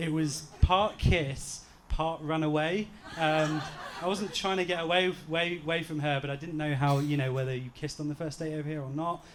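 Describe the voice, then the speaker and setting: Noticeable background noise sits behind a man speaking at a moderate pace in a fairly high voice. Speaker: groom. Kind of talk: wedding speech. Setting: wedding reception with audience. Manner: halting.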